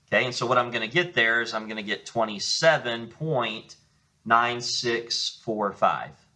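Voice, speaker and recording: A man keeps a moderate pace in a plain, everyday voice, his medium pitch showing ordinary pitch variation. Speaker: math teacher. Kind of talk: lecture.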